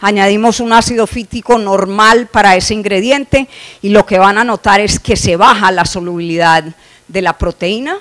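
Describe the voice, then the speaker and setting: The sound is dry and close with no echo as a woman of medium pitch speaks at a moderate pace with ordinary pitch variation. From Colombia. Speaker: animal nutrition scientist. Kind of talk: conference lecture. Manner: frequent filler hesitations.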